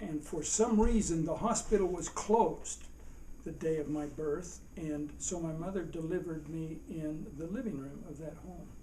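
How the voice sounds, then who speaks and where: A man with a fairly high voice talks at a moderate pace, his loudness swinging widely. His pitch varies in an ordinary way, and the room echo is audible. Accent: American. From Utah. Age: 70s. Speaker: father being interviewed about his life. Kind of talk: family oral history interview.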